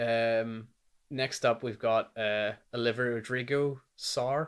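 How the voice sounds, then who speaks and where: With a Northern Irish accent, a man speaks at a very slow pace, with a medium pitch and fairly even intonation. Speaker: music reviewer. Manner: casual, lots of filler words.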